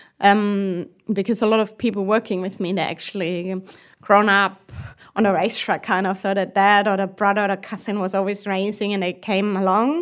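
A woman speaks in a German accent with monotone, flat intonation. The recording is very clean, with a silent background. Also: medium pitch for a woman, moderate pace. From southern Germany. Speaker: race engineer. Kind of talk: podcast interview. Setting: studio. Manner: halting.

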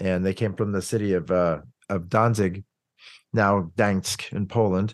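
A man speaks at a fairly slow pace. His pitch sits fairly low. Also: quiet background. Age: 50s. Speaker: orchestral cellist. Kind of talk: casual chat. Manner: animated.

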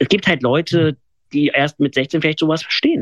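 A man's pitch runs fairly high. The recording sounds dry and close, with no echo. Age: 20s. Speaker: blind hypnotist and podcaster. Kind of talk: interview. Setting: radio interview.

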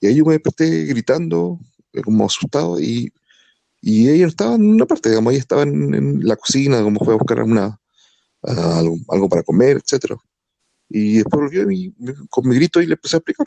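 A man speaks at a medium pitch with very wide pitch swings and a dark, mellow tone. His pace is fairly quick, broken by long, frequent pauses, and the sound is dry and close with no echo. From Chile. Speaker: podcast co-host. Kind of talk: casual chat.

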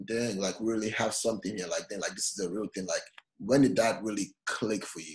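With an ordinary speaking voice, a man talks at a fairly quick pace and a fairly low pitch, with ordinary pitch variation. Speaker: podcast host. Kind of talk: interview.

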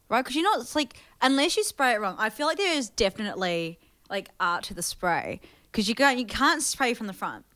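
A woman's bright, sharp voice, high in pitch, with very wide pitch swings, a fairly quick pace and a New Zealand accent. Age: 20s. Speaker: podcast co-host. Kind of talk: casual chat.

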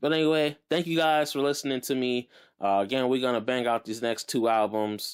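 A man talks at a medium pitch and a fairly quick pace. His loudness stays very even while his pitch varies in an ordinary way. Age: 30s. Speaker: musician and podcast host. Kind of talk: casual monologue. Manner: casual, off the cuff.

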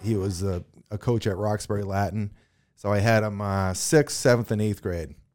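The recording is very clean, with a silent background. A man with an ordinary speaking voice talks at a moderate pace and fairly low pitch, his intonation fairly even. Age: 40s. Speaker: former pro hockey player. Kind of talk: interview.

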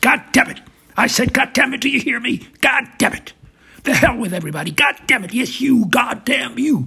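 Shouting in a put-on character voice, a man projects a raised, raspy sound at an extremely high pitch and a moderate pace. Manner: shouting full blast, raging.

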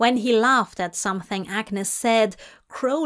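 With pitch that moves in an ordinary way, a voice reads aloud naturally.

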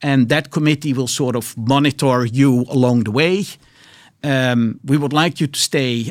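With a Dutch accent, a man speaks at a moderate pace and medium pitch, his pitch varying in an ordinary way on a very clean recording with a silent background. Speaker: biotech entrepreneur and investor. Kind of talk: interview. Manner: hesitant, many fillers.

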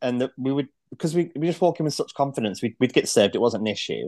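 With a Mancunian accent, a man talks at a very fast pace in a fairly high pitch, his tone dark and mellow. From northern England, Manchester. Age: 40s. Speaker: podcast guest in recovery. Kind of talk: casual interview.

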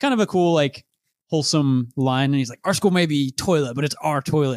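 This man talks very fast. His sound is dry and close, without any echo. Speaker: podcast host. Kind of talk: casual chat.

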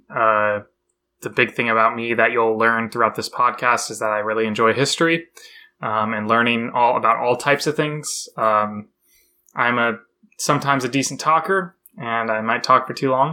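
A man's bright, sharp voice at medium pitch with ordinary pitch variation, on a very clean recording with a silent background. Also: moderate pace. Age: 20s. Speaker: podcast co-host, software engineer. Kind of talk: casual chat.

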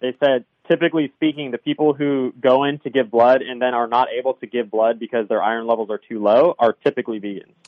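A man with a plain, everyday voice talks at a fairly quick pace, his medium pitch showing ordinary variation. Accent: American. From Southern California. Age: 30s. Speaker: former vegan turned carnivore dieter. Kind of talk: interview.

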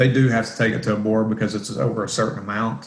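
Audible room echo surrounds a man speaking at a moderate pace and medium pitch with a Southern US accent. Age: 40s. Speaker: real estate investor. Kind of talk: interview. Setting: job site. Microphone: echoey room.

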